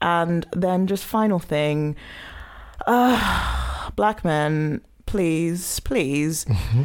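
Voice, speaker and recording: With a British accent, a woman speaks at a very slow pace in a fairly low pitch, her intonation lively and her loudness very even. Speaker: podcast host. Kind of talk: casual banter podcast.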